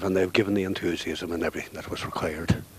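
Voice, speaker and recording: Over noticeable background noise, a man with a Donegal accent speaks at a very fast pace in a very deep, low pitch. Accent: Donegal Irish. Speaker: club veteran. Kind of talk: post-match interview.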